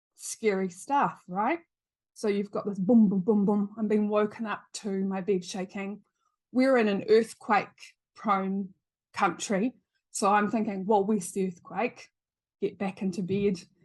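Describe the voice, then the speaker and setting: At a fairly slow pace, a woman with a medium pitch speaks in a somewhat breathy voice with fairly even intonation. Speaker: psychic medium. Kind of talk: podcast interview, personal story.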